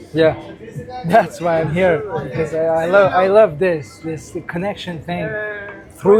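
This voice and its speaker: At a fairly slow pace, the speech unfolds with music behind it. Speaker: podcast host and DJ. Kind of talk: casual interview chat.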